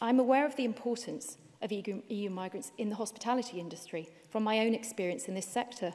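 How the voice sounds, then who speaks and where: A woman with an English accent and fairly high pitch, at a very fast pace. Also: ordinary pitch variation. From Wales. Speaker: politician. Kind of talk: parliamentary speech. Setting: parliament chamber. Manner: formal.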